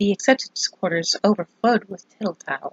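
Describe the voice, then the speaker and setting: At a moderate pace, the somewhat breathy voice keeps a fairly even intonation. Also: woman. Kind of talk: ASMR whispered book reading.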